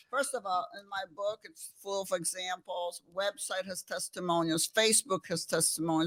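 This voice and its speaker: Her tone is bright and sharp. The woman's sound is dry and close, with no echo. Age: 60s. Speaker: physician. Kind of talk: interview. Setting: studio. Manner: animated.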